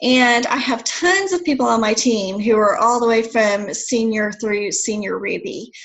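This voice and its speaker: A woman's fairly high voice with lively intonation and hardly any pauses, over noticeable background noise. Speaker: network marketing presenter. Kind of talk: sales pitch. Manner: fast.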